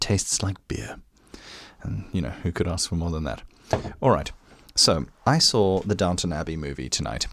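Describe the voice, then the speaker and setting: On a very clean recording with a silent background, a man speaks with a very deep, low pitch and vocal fry. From South Africa. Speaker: podcast host. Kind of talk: casual podcast monologue. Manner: casual, filler-heavy.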